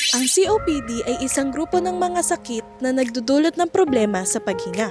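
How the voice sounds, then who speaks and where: With music in the background, a woman speaks in a high, upbeat voice that swings very widely in pitch. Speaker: student. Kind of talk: scripted health infomercial.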